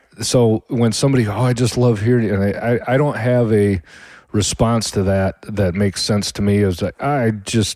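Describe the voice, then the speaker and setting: Speaking in a Midwestern American accent, a man with a fairly low pitch and a dark, mellow tone keeps a moderate pace, fairly even intonation and very even loudness, in a dry, close sound with no echo on a very clean recording with a silent background. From Michigan, US Midwest. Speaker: podcast host, home cook. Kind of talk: casual monologue. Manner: halting.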